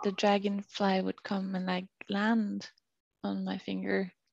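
In a dry, close sound with no echo, a woman speaks with a Norwegian accent at a fairly slow pace. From Norway. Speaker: PhD student, climber and yoga practitioner. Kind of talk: casual interview chat. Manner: halting, many fillers.

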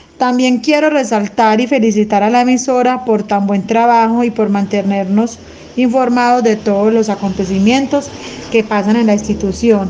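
With noticeable background noise behind her, a woman of fairly high pitch speaks at a moderate pace, her intonation fairly even and her loudness very even. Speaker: school radio presenter. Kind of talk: school radio show.

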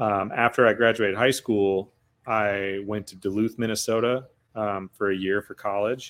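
With an Upper Midwest accent, a man speaks at a moderate pace in a fairly low, monotone, flat voice whose loudness swings widely, on a very clean recording with a silent background. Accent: Upper Midwest American. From Wisconsin, Eau Claire area. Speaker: podcaster and entrepreneur. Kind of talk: casual chat.

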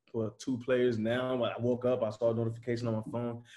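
A man with an American accent speaks at a medium pitch in a dark, mellow tone. His intonation is monotone and flat, and his pace is fairly quick. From Chicago. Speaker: photographer. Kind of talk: casual chat.

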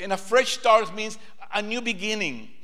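High male voice with ordinary pitch variation at a moderate pace, audible room echo and noticeable background noise. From Peru. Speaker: preacher. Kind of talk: sermon.

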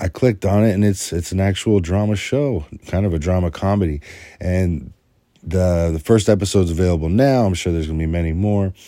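A man's very deep, low voice with a dark, mellow tone, ordinary pitch variation and a fairly quick pace, in a very clean recording with a silent background. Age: 30s. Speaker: podcast host reviewing TV shows. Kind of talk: solo review monologue. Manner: hesitant, many filler words.

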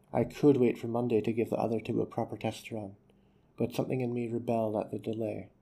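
What you hear is someone reading in an unforced way.

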